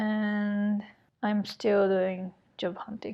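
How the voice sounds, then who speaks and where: A woman with a Japanese accent at a medium pitch, very slow, with ordinary pitch variation. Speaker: podcast co-host. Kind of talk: casual chat.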